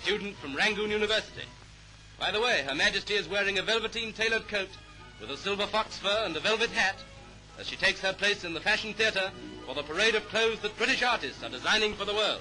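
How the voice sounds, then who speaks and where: With music in the background, a man speaks very fast at a high pitch with ordinary pitch variation. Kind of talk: newsreel narration.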